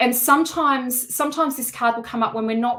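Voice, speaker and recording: A woman speaks fairly quickly with lively intonation. Her tone is bright and sharp. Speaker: tarot reader. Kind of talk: live-streamed tarot reading and course pitch. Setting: live stream at home. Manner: loud. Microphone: no microphone worn.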